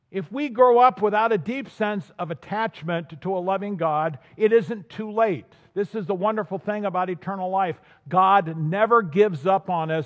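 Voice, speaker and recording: At a moderate pace, a man with an American accent talks in a high voice with ordinary pitch variation. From US West, Southern California. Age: 70s. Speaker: pastor. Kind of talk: sermon. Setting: church.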